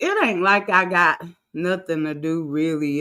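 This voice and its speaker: A woman at fairly low pitch and a fairly slow pace, in a very clean recording with a silent background. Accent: American. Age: 30s. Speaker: livestreamer. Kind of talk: casual livestream chat. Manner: relaxed, conversational.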